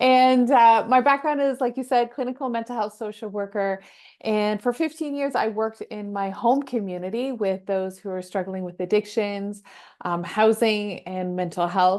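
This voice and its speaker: A woman talks in an upbeat tone with a slight Canadian accent. Her pitch is fairly high, with ordinary pitch variation. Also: moderate pace. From Canada, Toronto. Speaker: mental health social worker. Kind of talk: interview.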